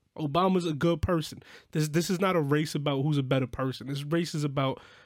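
Here a man with an American accent uses an ordinary speaking voice, fairly high pitch and ordinary pitch variation at a fairly quick pace. The recording is very clean, with a silent background. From New York. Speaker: podcast co-host and musician. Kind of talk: casual chat.

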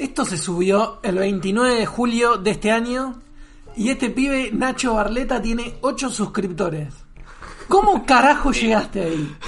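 Over noticeable background noise, a man speaks fairly slowly in an extremely high pitch with lively intonation. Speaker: podcast panelist. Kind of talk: casual chat. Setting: in a brewery bar.

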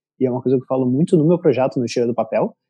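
A man talks at a very fast pace with a dark, mellow tone and ordinary pitch variation. The sound is dry and close, with no echo. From Rio de Janeiro, Brazil. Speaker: designer and content creator. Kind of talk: casual interview chat.

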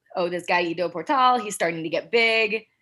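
Speaking with an American accent, a woman has a bright, sharp tone at a medium pitch with ordinary pitch variation. She goes at a fairly quick pace on a very clean recording with a silent background. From US West, Salt Lake City, Utah. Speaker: hand balancing and pole teacher. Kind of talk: casual chat.

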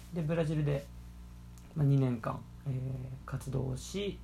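This is a man speaking. He keeps a moderate pace. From Okayama, western Japan. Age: 20s. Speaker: former overseas volunteer baseball coach, YouTuber. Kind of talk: online presentation. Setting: video call.

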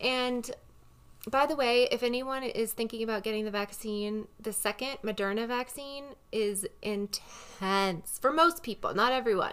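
Using a normal speaking voice, a woman speaks at a fairly slow pace with ordinary pitch variation. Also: fairly high pitch for a woman. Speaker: podcast co-host. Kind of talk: casual chat. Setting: studio with headphones and mic. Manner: casual, laughing.

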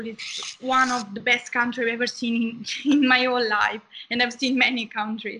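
A woman with a high pitch speaks at a moderate pace in an Italian accent. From southern Italy. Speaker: medical student. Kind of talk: interview. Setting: video call.

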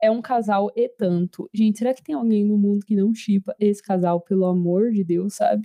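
A woman with a dark, mellow tone and medium pitch keeps a moderate pace with hardly any pauses and ordinary pitch variation, in a dry, close sound with no echo. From Brazil. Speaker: podcast host. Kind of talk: casual chat. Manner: animated.

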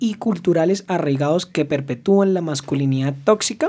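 At a moderate pace, the voice has a dark, mellow tone and ordinary pitch variation. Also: man. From Colombia, Arauca (Llanos region). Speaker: podcast host, legal psychology. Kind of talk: casual chat; scripted intro/outro.

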